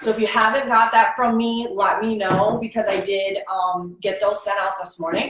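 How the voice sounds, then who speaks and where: A woman speaks with an unremarkable speaking voice, a medium pitch and ordinary pitch variation. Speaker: online business coach. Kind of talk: live stream tutorial. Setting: at home.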